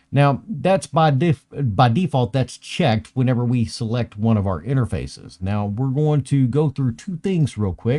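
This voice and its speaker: Somewhat breathy, a man talks with lively intonation and hardly any pauses against a quiet background. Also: moderate pace. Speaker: IT trainer. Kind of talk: tutorial. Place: home room.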